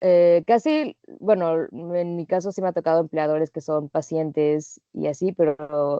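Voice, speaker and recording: A woman with a Mexican accent talks at a fairly slow pace in a fairly low voice. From Mexico. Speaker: working holiday traveler. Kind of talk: interview.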